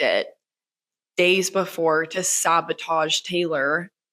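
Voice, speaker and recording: This woman's voice sits at a fairly low pitch. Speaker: podcast host. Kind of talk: casual chat. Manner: animated.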